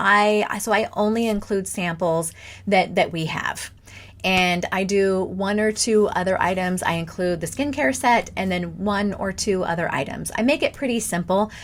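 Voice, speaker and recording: Words come out at a fairly slow pace. It is a plain, everyday voice, and the pitch varies in an ordinary way. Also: woman. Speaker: direct sales party coach. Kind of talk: tutorial. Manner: casual, with fillers and restarts.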